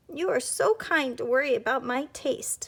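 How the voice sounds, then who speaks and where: A woman does a put-on character voice, raspy and high-pitched, with very wide pitch swings at a moderate pace. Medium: read story. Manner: stammering.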